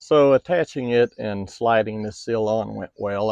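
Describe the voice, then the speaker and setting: A man's fairly low voice with ordinary pitch variation, dry with no echo, over a quiet background. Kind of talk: tutorial. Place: open country. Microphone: phone near.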